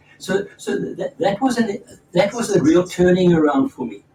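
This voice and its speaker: A man talks rather quickly. Background noise is clearly audible. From South Africa. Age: 80s+. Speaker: spiritual teacher and former doctor. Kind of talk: storytelling in a conversation. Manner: halting, with repeated words.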